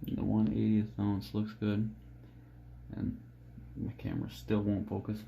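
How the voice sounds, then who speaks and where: A soft-spoken man talks in a fairly low pitch with a dark, mellow, somewhat breathy tone and lively intonation. Long, frequent pauses break up his speech, and the room echo is audible. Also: fairly slow pace. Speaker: fishing jig maker. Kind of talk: tutorial. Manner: low-energy, subdued.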